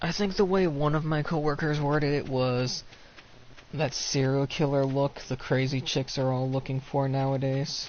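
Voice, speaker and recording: A man with a fairly high pitch speaks at a moderate pace. His intonation is fairly even, and background noise is noticeable. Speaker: streamer. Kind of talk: casual chat.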